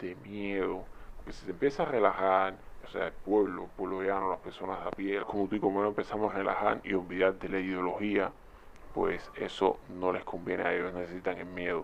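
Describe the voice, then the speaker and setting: A man with a Cuban accent speaks in a very deep, low voice with monotone, flat intonation. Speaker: YouTube commentator. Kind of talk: video commentary. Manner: conversational.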